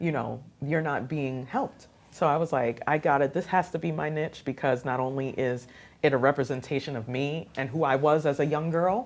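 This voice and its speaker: A woman speaks in a very deep, low voice on a very clean recording with a silent background. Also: moderate pace. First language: Haitian Creole. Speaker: radio host and youth program founder. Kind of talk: interview. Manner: animated.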